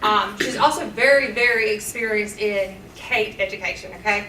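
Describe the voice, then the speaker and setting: Moderate-paced speech with a Southern US accent, noticeable background noise and audible room echo. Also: woman. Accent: country, Southern. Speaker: teacher and nurse. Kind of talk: public comment at board meeting. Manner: earnest, pleading.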